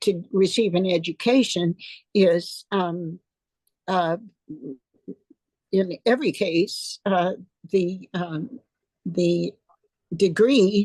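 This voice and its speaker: A medium-pitched woman with fairly even intonation and a dry, close sound with no echo. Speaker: retired professor and writer. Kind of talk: interview answer. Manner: hesitant, reflective.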